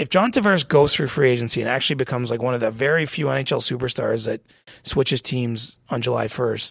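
Vocal fry runs through this man's voice. He talks at a fairly quick pace with a medium pitch and ordinary pitch variation. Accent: Canadian. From small-town Ontario, Canada. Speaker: hockey reporter. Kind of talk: casual chat. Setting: studio.

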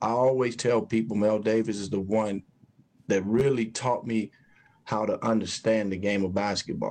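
With an American accent, a man speaks in a plain, everyday voice, fairly low in pitch, at a moderate pace with fairly even intonation. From Chicago, US Midwest. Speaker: sports podcast host.

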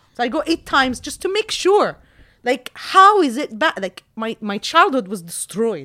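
A woman's raised, projected voice, high-pitched, bright and sharp, animated and energetic, with very wide pitch swings, in a very clean, dry, close recording with no echo and a silent background. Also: moderate pace. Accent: American. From Jordan. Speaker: movie reviewer and YouTuber. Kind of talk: casual storytelling in an interview. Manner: animated, energetic.

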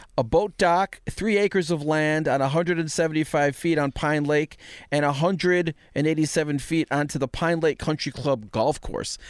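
At a moderate pace, a man with a fairly high pitch speaks with fairly even intonation and very even loudness, the recording very clean with a silent background and a dry, close sound with no echo. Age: 40s. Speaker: podcast host. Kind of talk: casual chat; reading aloud. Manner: halting.

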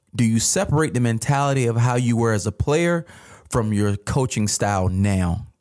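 A man talks at a moderate pace in an ordinary speaking voice, medium in pitch with ordinary pitch variation. The recording is very clean, with a silent background. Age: 30s. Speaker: sports podcast co-host, former player and coach. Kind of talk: casual chat.

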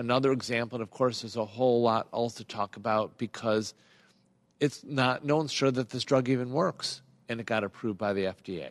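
A man with an American accent in a plain, everyday voice, medium pitch and fairly even intonation at a fairly quick pace, with dry, close sound, no echo, and a quiet background. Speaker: internal medicine physician. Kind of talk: radio call-in Q&A. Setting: radio studio.

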